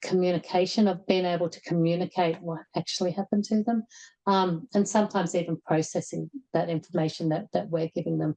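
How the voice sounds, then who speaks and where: Delivered at a very fast pace with an Australian accent, the voice has a dark, mellow tone. Intonation stays fairly even, and the sound is dry and close with no echo. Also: woman, fairly low pitch for a woman. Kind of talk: webinar presentation. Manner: halting, many fillers and repetitions.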